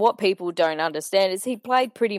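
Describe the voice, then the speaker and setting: On a very clean recording with a silent background, a woman speaks in a medium pitch with ordinary pitch variation. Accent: Australian. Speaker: podcast panelist. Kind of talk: casual chat about sport.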